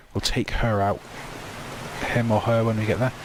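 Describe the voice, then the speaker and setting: Over noticeable background noise, a man with a fairly low voice speaks at a fairly quick pace. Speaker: gaming video creator. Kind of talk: let's play commentary. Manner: hesitant with many ums; loud.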